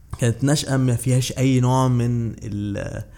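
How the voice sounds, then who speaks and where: A plain, everyday voice, a man at medium pitch and a fairly slow pace. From Egypt, raised partly in Saudi Arabia and Bahrain. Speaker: journalist and political commentator. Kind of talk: interview.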